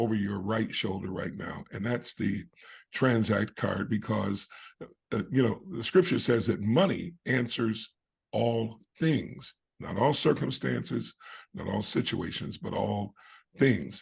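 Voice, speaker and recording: A man speaks at a fairly slow pace with vocal fry and lively intonation. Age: 60s. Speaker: online program host. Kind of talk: video call interview. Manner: halting, many fillers.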